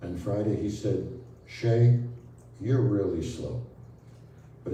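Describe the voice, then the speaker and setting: With an American accent and lively intonation, a man with a fairly low pitch speaks at a moderate pace amid noticeable background noise and audible room echo. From Brooklyn, New York. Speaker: spiritual healer. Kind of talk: talk to an audience.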